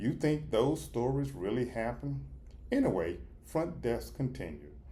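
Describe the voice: A man talks at a fairly slow pace. His tone is dark and mellow.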